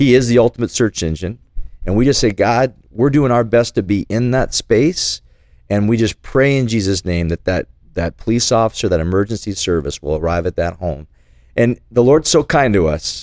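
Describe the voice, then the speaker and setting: A man with a plain, everyday voice speaks at a medium pitch and moderate pace with lively intonation. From Calgary, Alberta, Canada. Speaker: nonprofit co-founder. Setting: studio.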